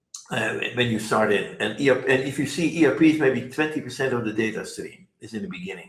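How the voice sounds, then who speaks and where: A man's medium-pitched voice at a fairly quick pace, with ordinary pitch variation and audible room echo. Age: 80s+. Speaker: software company founder. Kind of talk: interview. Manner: fast.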